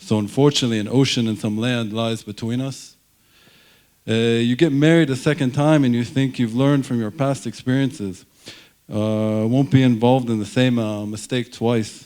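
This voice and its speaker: Mumbling at a moderate pace, a man speaks in a medium pitch with a dark, mellow tone and fairly even intonation. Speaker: surgeon, alumnus giving a ceremony speech. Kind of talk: ceremony speech. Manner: hesitant, many fillers.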